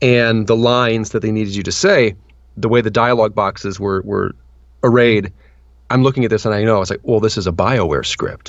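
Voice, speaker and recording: A man has a normal speaking voice at a medium pitch, with ordinary pitch variation. He talks at a fairly quick pace against a quiet background. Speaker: voice actor. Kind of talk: interview answer. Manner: casual, conversational.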